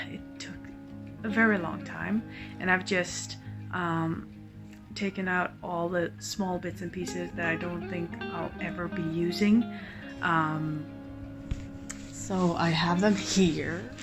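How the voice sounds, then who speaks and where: Very slowly and quietly, a woman speaks with long, frequent pauses while music plays in the background. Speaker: crafter. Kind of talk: casual talk to camera. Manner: low-voiced, quiet.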